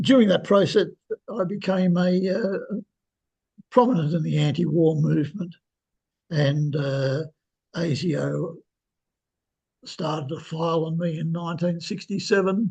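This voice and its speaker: With an Australian accent, a man speaks fairly slowly with long, frequent pauses, his high-pitched voice dark and mellow in tone with ordinary pitch variation. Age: 80s+. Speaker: historian. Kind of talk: interview. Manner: halting, many fillers.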